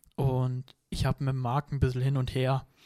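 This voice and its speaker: A man's dark, mellow voice at a medium pitch comes through a very clean recording with a silent background and a dry, close sound with no echo. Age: 20s. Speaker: martial arts trainer. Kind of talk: casual chat.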